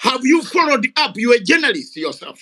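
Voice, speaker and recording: A man speaks in a bright, sharp tone with ordinary pitch variation. His delivery is animated. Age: 60s. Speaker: retired soldier and activist. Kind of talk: heated debate. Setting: online audio room.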